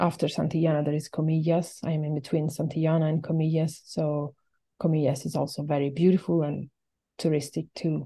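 In an Italian accent, a woman talks at a fairly quick pace with a very deep, low pitch, a dark, mellow tone and monotone, flat intonation over a quiet background. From Italy. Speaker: albergue host. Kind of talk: interview. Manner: laughs often.

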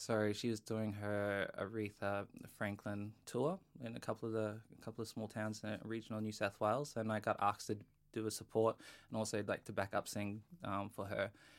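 In an Australian accent, a man talks at a fairly quick pace with a fairly low pitch and monotone, flat intonation, on a very clean recording with a silent background. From North Queensland, Australia. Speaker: singer-songwriter and actor. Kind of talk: casual interview chat.

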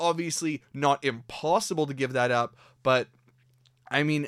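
An animated man with a Canadian accent, in a very clean recording with a silent background and a dry, close sound with no echo. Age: 20s. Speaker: hockey podcast host. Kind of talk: sports podcast monologue.

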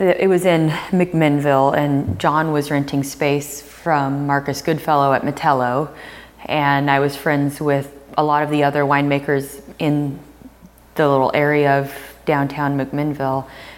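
Her voice very deep and low, a woman with a General American accent speaks fairly slowly in a monotone, flat intonation at very even loudness. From US Pacific Northwest. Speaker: winemaker. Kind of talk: interview. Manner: hesitant with fillers.

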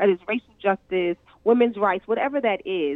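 A woman speaks with an American accent. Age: 50s. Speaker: education activist. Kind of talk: radio interview.

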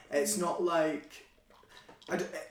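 Over noticeable background noise, a man with a Central Belt Scottish accent talks at a fairly high pitch with ordinary pitch variation. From Falkirk, Scotland. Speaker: actor. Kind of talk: casual chat. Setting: living room, podcast recording.

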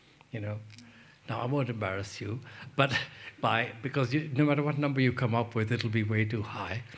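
A man talks at a fairly quick pace in a somewhat breathy voice. Long, frequent pauses break up his speech. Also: medium pitch for a man. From Pakistan. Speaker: development economist, think tank president. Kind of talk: panel Q&A answers; lecture. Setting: lecture hall with audience. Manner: conversational.

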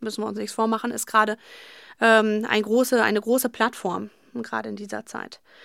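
This recording is very clean, and its background is silent. The speaking moves at a moderate pace. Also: woman. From Germany, Paderborn district (Westphalia). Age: 30s. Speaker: youth education officer. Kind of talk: interview. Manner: hesitant, many fillers.

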